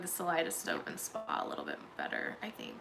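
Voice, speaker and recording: Moderate pace over noticeable background noise. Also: woman. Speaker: true crime commentator. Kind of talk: livestream recap chat. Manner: halting.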